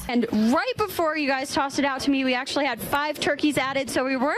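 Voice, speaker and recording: Amid noticeable background noise, a woman speaks fairly quickly in a high pitch. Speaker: TV news anchor and reporter. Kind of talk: live field reporting.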